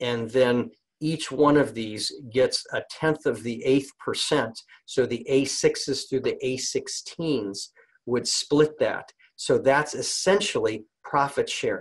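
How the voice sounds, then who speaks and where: The pace is very slow as a man speaks. The background stays quiet. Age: 50s. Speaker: network marketing distributor; presenter. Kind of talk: sales pitch. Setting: conference call. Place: home room. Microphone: webcam.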